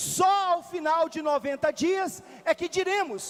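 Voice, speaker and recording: A man talks in an extremely high pitch. His pitch variation is ordinary. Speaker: city councillor. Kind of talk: parliamentary speech. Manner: repetitive, halting.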